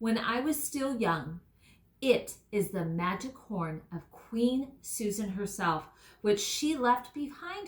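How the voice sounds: Lively intonation in a natural reading voice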